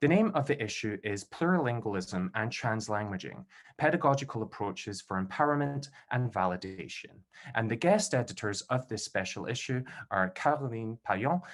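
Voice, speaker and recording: With a Scottish accent, a man speaks at medium pitch and a moderate pace with lively intonation, on a very clean recording with a silent background. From Scotland, Glasgow. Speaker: event host, PhD candidate. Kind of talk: formal event introduction. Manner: formal.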